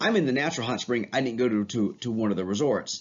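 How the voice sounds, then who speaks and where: A man at a very fast pace, enthusiastic in tone, with medium pitch and ordinary pitch variation. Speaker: teacher. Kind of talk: lecture. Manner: casual, enthusiastic.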